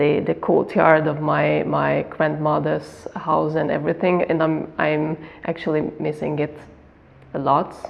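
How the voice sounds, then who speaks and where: A woman with a Hungarian accent at a fairly slow pace, amid noticeable background noise. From Slovakia, Hungarian minority village near the border. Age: 20s. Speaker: migrant interviewee, art history graduate. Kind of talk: interview. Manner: halting, many repetitions.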